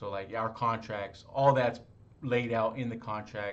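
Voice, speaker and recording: A man at a moderate pace, in audible room echo. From Los Angeles. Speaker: real estate wholesaler. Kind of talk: sales call. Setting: phone call.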